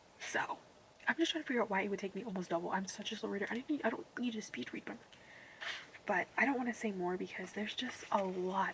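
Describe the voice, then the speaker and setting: Background noise is clearly audible. Over it, a woman speaks very quickly. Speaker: booktuber. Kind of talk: casual reading vlog talk. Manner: rambling, fast chatty.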